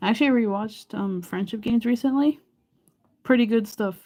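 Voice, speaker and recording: A woman's dark, mellow tone at a fairly quick pace. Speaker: live streamer. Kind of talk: casual chat. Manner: monotone.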